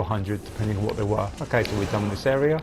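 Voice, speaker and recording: Noticeable background noise runs under the speech. Pitch variation is ordinary. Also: man. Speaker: gaming video creator. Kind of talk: gameplay commentary tutorial.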